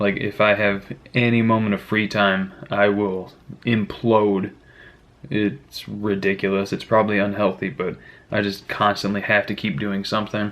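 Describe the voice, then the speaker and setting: A man with an American accent talks at a moderate pace. His fairly low voice stays monotone and flat. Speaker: youtuber, freelance mechanic. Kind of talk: casual vlog chat.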